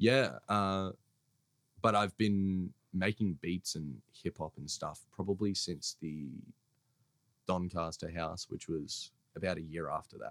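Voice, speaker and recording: With an Australian accent, a man speaks at a very slow pace in a very deep, low pitch, with ordinary pitch variation. Long, frequent pauses break up the dry, close sound with no echo. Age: 20s. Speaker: hip hop artist and producer. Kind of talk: casual chat.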